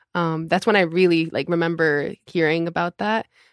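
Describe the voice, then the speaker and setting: A woman speaks in a plain, everyday voice at a moderate pace, pitched fairly low. The sound is dry and close, with no echo. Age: 20s. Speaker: church member, worship volunteer. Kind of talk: casual interview.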